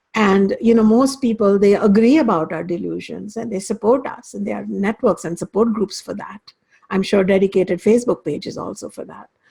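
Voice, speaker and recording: A woman's dark, mellow tone carries vocal fry and big swings in loudness as she moves at a fairly quick pace with ordinary pitch variation. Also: medium pitch for a woman. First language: Hindi or Sanskrit. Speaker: spiritual teacher. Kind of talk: lecture. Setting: class. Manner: halting.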